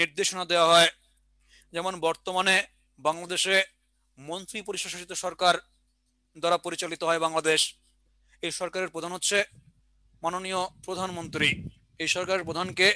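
Here a man speaks in a high, bright, sharp voice with monotone, flat intonation. The sound is dry with no echo and the background is quiet. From Bangladesh. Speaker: exam prep teacher. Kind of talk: online lecture; lecture. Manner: repetitive, dictation pace. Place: classroom. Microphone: headset.

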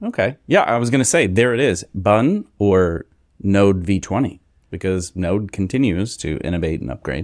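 Over a quiet background, a man with a fairly low pitch speaks at a moderate pace with lively intonation. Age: 40s. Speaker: podcast co-host. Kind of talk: casual chat. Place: home room. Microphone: studio mic.

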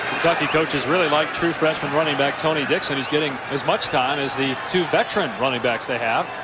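With hardly any pauses, a fairly high-pitched man talks at a very fast pace. There is noticeable background noise. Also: ordinary pitch variation. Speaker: play-by-play announcer. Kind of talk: live commentary. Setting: stadium broadcast. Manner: animated, rapid play-by-play delivery.

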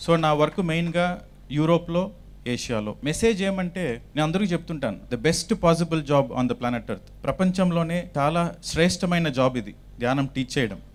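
This man has a plain, everyday voice at a fairly high pitch. His intonation is lively. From Chittoor, Andhra Pradesh, India. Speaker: meditation teacher. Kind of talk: testimony.

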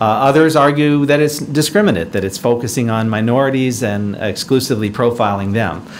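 A man talks at a fairly quick pace with ordinary pitch variation. Light background noise sits behind him. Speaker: presenter. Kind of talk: lecture. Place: hall. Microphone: podium.

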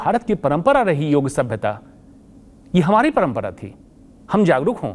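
Vocal fry runs through the fairly high-pitched voice of a man who speaks at a moderate pace with very wide pitch swings. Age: 50s. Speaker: oncologist; guest. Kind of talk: interview. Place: studio. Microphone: lapel.

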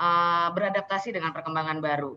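With a bright, sharp tone, a woman talks at a fairly quick pace with ordinary pitch variation. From Indonesia. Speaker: event host. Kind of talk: hosting online event. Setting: video call. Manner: animated. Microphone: webcam.

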